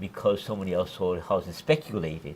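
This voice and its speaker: A man talks at a fairly quick pace with a Hawaiian accent. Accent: Hawaii English. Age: 60s. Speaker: former politician. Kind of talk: interview.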